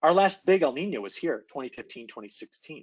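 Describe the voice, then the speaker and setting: Against a quiet background, a man's pitch swings very widely. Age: young. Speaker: atmospheric scientist; presenter. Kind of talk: presentation. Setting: video call. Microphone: video call.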